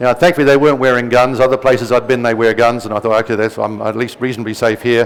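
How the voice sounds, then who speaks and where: Talking at a very fast pace with hardly any pauses, a man keeps a medium pitch. His intonation stays fairly even. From New Zealand. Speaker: presenter giving a talk. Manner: informal, anecdotal.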